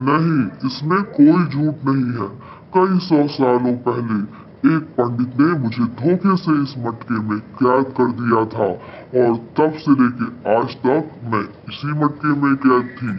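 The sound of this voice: Over clear background noise, a man uses a cartoonish, menacing character voice at medium pitch and a fairly slow pace.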